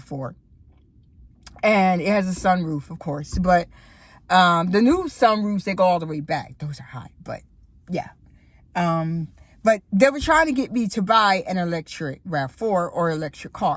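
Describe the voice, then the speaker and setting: A woman with an American accent speaks at a moderate pace in a fairly low, somewhat breathy voice. Her intonation is lively, and her loudness swings widely. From Florida. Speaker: YouTuber. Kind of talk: casual vlog monologue. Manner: conversational with many fillers.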